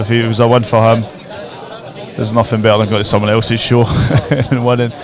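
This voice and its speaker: Crowd noise fills the background. A man talks fairly quickly in a medium pitch with monotone, flat intonation. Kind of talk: live sports commentary. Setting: indoor sports hall.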